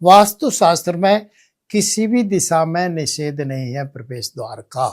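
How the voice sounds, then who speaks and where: A high-pitched male voice with big swings in loudness, on a very clean recording with a silent background. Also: lively intonation. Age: 80s+. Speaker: vastu expert. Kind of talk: explanatory talk with live demonstration.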